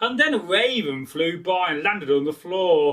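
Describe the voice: A man speaks at a fairly slow pace with a high pitch, a fairly bright tone and lively intonation.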